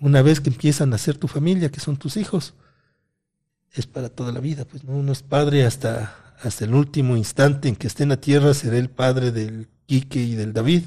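A man with a fairly high pitch speaks at a moderate pace in a dark, mellow tone that is somewhat breathy. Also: ordinary pitch variation. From Ecuador, Cotopaxi (Latacunga). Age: 50s. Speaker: electrical engineer and content creator. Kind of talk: casual interview chat.

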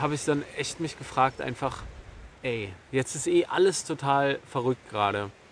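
Pitched fairly high, a man speaks at a moderate pace with ordinary pitch variation. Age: 30s. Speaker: personal development YouTuber. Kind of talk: solo vlog monologue. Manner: halting, many fillers.

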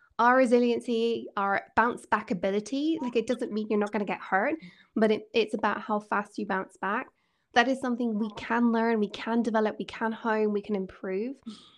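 In a Scottish accent, a woman speaks at a moderate pace in a fairly high voice with fairly even intonation against a quiet background. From Scotland. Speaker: executive coach. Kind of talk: interview.

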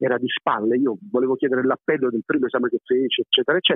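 His pitch varies in an ordinary way as this man talks in a fairly high register. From Apulia, southern Italy (moved from Naples at six). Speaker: comedian and actor. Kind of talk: phone interview. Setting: phone call.

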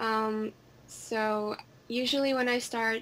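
A woman speaks with a Finnish accent at a fairly high pitch. Her intonation stays fairly even. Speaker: singer. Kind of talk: casual chat.

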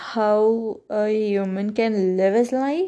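On a quiet background, a woman talks at a very slow pace in a fairly high pitch with ordinary variation. Her tone is dark and mellow. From India. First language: Kannada. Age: 20s. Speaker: podcaster, student. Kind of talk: solo monologue.

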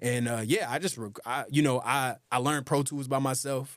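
With an American accent and ordinary pitch variation, a man speaks at a medium pitch in an unremarkable speaking voice. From US South, Atlanta, Georgia. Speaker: rapper and producer. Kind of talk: casual interview chat.

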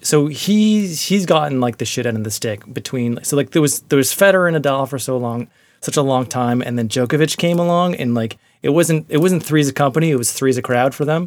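A man with an unremarkable speaking voice talks at a fairly quick pace with lively intonation and hardly any pauses. The recording is very clean, with a silent background. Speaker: guest host and producer. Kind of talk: casual banter. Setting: closet at home with headphones.

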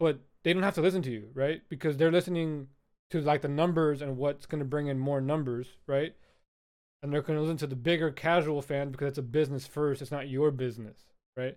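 Delivered at a fairly quick pace, an unremarkable speaking voice keeps its intonation fairly even. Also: man, fairly high pitch for a man, very clean recording, silent background. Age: 20s. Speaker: podcast host. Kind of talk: casual chat.

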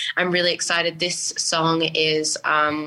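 A woman with an Australian accent talks in a very deep, low pitch and a monotone, flat intonation. Noticeable background noise sits behind her. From Sydney, Australia (Western Sydney). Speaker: singer. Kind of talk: interview.

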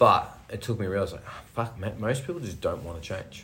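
A man with an Australian accent talks at a fairly quick pace. Room echo can be heard. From Australia, rural Victoria. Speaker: personal trainer. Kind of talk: casual chat.

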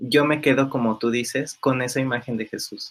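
This man's pitch sits in the middle of the male range. His intonation stays flat and monotone. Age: 20s. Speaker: primary school teacher. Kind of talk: interview conversation. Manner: halting, many fillers.

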